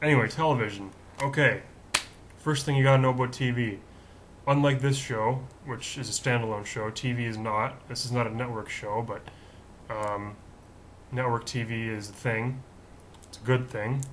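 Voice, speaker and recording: Amid audible room echo, a man talks at medium pitch and a moderate pace, with fairly even intonation and long, frequent pauses. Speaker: video show host. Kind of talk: casual monologue. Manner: conversational, with fillers.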